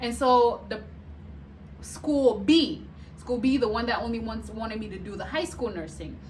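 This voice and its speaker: A woman's animated voice at a moderate pace, with long, frequent pauses, big swings in loudness and audible room echo. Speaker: vlogger and nurse. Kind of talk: casual storytelling vlog.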